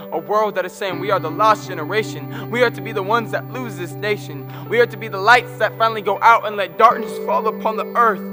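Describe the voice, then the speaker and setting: A man's raised, projected voice, high-pitched, at a very fast pace with hardly any pauses, very wide pitch swings and big swings in loudness, over music in the background. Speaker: slam poet. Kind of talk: slam poetry performance.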